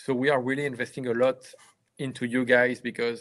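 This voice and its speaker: Fairly quick talk from a man with a medium-pitched voice. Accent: French. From France. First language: French. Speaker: business owner. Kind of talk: livestream remarks. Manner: halting.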